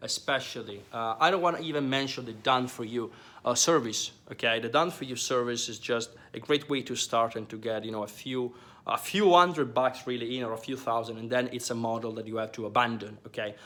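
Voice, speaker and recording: This man speaks with an Italian accent and ordinary pitch variation. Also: medium pitch for a man, fairly quick pace. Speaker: online business coach. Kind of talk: business advice talk to camera. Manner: hesitant, many fillers and repetitions.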